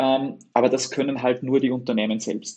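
A moderate pace with an Upper Austrian accent. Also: man. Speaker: web agency owner. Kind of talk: interview conversation.

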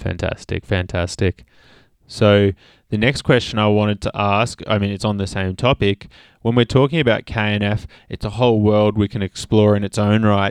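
The speaker has an Australian accent and a moderate pace. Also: man, fairly low pitch for a man. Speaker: podcast host. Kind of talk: casual interview chat. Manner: enthusiastic.

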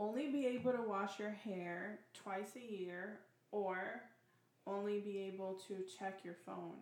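A woman has an unremarkable speaking voice at a medium pitch. She talks at a fairly slow pace with fairly even intonation. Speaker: question reader. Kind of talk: casual chat.

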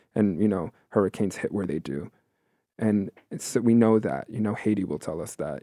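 A man with an American accent speaks at a moderate pace in a fairly low voice with a dark, mellow tone. The sound is dry and close with no echo, on a very clean recording with a silent background. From New York City, Queens. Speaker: performance artist and educator. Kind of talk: casual interview.

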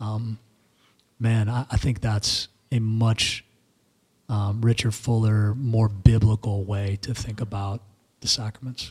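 This man's voice is fairly low and somewhat breathy, with monotone, flat intonation. He speaks at a very slow pace with long, frequent pauses. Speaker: podcast co-host discussing theology. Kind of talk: casual theological discussion. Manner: halting, many fillers.

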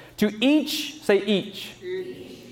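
With noticeable background noise and audible room echo around him, a man talks in a high pitch. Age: 30s. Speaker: pastor. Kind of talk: sermon. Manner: repetitive, self-correcting.

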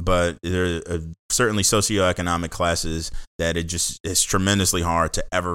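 A man's very deep, low pitch with an American accent, in a very clean, dry, close recording with a silent background and no echo. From Washington DC area, Seat Pleasant, Maryland. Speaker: entrepreneur and corporate leader. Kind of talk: casual interview.

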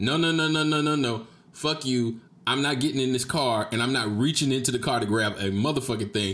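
Using a normal speaking voice with an American accent, a man talks at a fairly quick pace and medium pitch, with ordinary pitch variation and very even loudness. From Jacksonville, Florida (Duval County). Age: 30s. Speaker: podcast host. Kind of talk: casual solo monologue, storytelling. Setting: streamed live on Facebook video.

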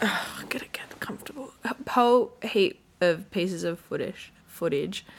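A woman with an Australian accent speaks at a moderate pace and medium pitch, with lively intonation and hardly any pauses. Noticeable background noise sits behind her. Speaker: podcast co-host. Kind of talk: casual chat. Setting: home room with window open.

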